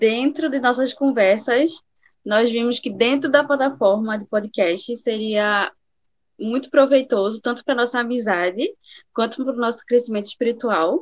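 A woman at a high pitch, moderate pace and ordinary pitch variation. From Recife, Pernambuco, Brazil. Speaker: podcast co-host. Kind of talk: casual chat.

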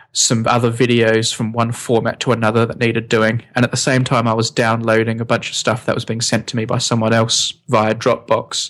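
Monotone and flat, a man's voice holds a medium pitch. He has an Australian accent. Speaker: podcast co-host, science video maker. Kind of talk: casual chat. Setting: home recording with poorly set up microphone.

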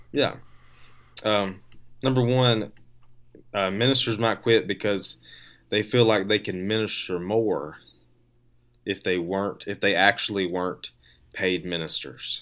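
Pausing long and often, a man with fairly low pitch and ordinary pitch variation speaks at a fairly slow pace on a very clean recording with a silent background. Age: 20s. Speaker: podcast co-host, minister. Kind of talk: casual chat. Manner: hesitant, many fillers and repetitions.

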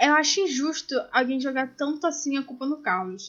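The speaker has a Carioca accent, a moderate pace and ordinary pitch variation. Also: woman. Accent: carioca Brazilian Portuguese. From Brazil, Rio de Janeiro. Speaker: podcast co-host. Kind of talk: casual chat. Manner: animated.

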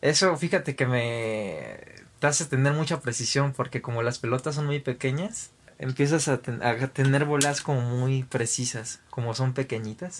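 A man with a normal speaking voice talks fairly slowly in a medium pitch, with ordinary pitch variation and hardly any pauses. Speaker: podcast host. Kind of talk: casual chat.

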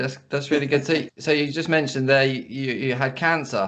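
He speaks in a normal speaking voice with a fairly high pitch. His intonation stays fairly even. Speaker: podcast host. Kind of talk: casual interview chat. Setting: video or phone call.

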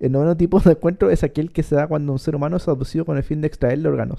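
A man in a Chilean accent talks at a very fast pace in a dark, mellow tone with ordinary pitch variation. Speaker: podcast co-host. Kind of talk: reading aloud; casual chat.

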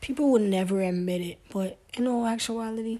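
A woman with a Brooklyn accent, her tone dark and mellow, her intonation fairly even, her pace moderate. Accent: New York (Brooklyn). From US Northeast, Brooklyn, New York. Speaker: podcast host. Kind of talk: solo casual monologue.

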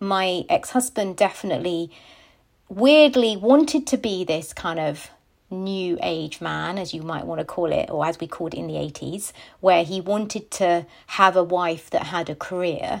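A woman in a normal speaking voice talks at a moderate pace with medium pitch, lively intonation and big swings in loudness, on a very clean recording with a silent background. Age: 40s. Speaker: podcast co-host. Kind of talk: casual chat.

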